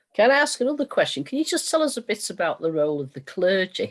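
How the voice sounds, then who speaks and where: Against a quiet background, a speaker with a northern English accent moves at a fairly quick pace with very wide pitch swings. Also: woman. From northern England. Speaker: meeting chair. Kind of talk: panel discussion. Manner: fast.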